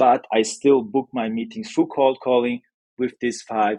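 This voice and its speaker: The man talks at a medium pitch with a non-native accent. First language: not English. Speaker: newsletter founder, sales expert. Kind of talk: podcast interview. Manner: hesitant, many fillers.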